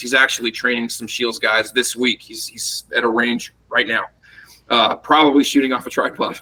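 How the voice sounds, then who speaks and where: A man speaks loudly at a fairly quick pace. His tone is bright and sharp. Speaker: rifle instructor, former soldier. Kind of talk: interview. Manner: animated.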